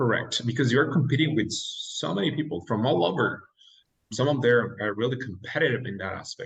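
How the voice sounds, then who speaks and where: Speaking at a fairly quick pace with a Mexican accent, a man uses a medium pitch and ordinary pitch variation. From Mexico. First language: Spanish. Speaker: dentist. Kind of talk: interview.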